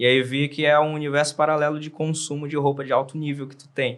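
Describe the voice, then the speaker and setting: This man's voice sits at a fairly high pitch. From Brazil, Amazonas. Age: 30s. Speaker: tailor. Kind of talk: casual chat.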